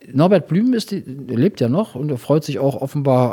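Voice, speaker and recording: Noticeable background noise runs under a man's voice. He speaks at a fairly high pitch with lively intonation. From Rhineland, Germany (Engelskirchen). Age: 50s. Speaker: city treasurer and lawyer. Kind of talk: interview.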